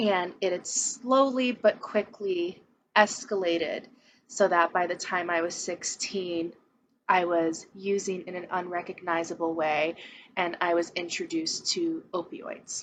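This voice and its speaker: A woman's unremarkable speaking voice, medium in pitch, at a fairly slow pace with ordinary pitch variation. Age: 20s. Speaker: person in recovery. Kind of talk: testimony.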